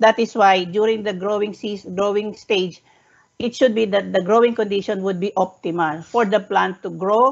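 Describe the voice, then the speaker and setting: In a Filipino accent, a woman speaks at medium pitch and a moderate pace. Her intonation is fairly even. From Philippines. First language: Tagalog. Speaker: researcher presenting a study. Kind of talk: webinar presentation. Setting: online webinar. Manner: halting, frequent self-corrections.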